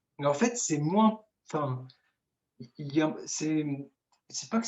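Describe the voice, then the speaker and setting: Speaking in an Arabic accent, a man with a high voice talks at a fairly slow pace with lively intonation. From Tunisia. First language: Arabic (speaking French). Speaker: IT project consultant and speaker. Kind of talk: Q&A interview. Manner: hesitant, many fillers.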